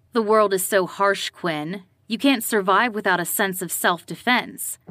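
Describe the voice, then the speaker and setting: A woman growls in a put-on character voice at a medium pitch. Her moderate pace is heard on a very clean recording with a silent background. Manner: growling, harsh.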